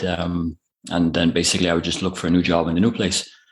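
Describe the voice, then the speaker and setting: A man with an Irish accent at a moderate pace, over a quiet background. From Ireland. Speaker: online business owner. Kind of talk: interview. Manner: hesitant, many fillers.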